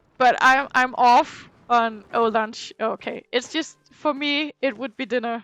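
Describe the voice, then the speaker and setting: A woman's high-pitched voice at a very slow pace, with fairly even intonation and hardly any pauses. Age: 20s. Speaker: streamer and school teacher. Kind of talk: casual chat during gameplay stream. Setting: live stream.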